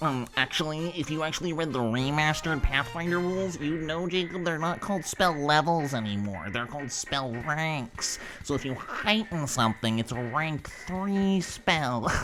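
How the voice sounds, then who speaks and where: A man puts on a character voice that is nasal and fairly high. He speaks at a moderate pace, with clear background noise. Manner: pedantic, smug.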